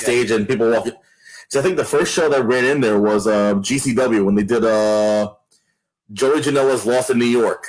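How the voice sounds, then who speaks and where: A man speaks at a moderate pace with an unremarkable speaking voice, medium pitch and ordinary pitch variation. His loudness stays very even. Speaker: wrestling ring announcer. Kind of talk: interview answer.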